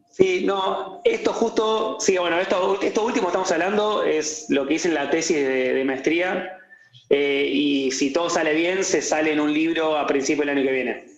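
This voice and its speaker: A man's high-pitched voice with ordinary pitch variation at a moderate pace, amid audible room echo and noticeable background noise. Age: young. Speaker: economist. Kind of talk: casual interview.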